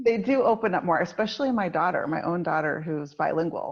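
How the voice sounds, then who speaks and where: Speaking at a moderate pace with an American accent, a woman has a normal speaking voice, medium pitch and lively intonation. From United States. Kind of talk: podcast interview.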